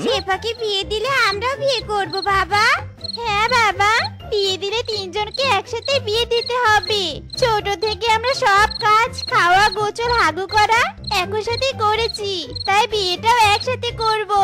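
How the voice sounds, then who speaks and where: Over clear background music, a female-sounding cartoonish character voice at an extremely high pitch speaks at a fairly slow pace. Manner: childish, whiny.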